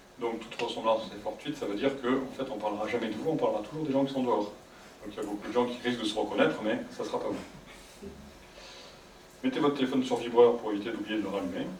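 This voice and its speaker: Soft-spoken and medium-pitched, a man talks at a very fast pace with ordinary pitch variation, amid audible room echo and noticeable background noise. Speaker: psychologist giving a conference. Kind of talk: public talk to audience. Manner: sometimes very fast.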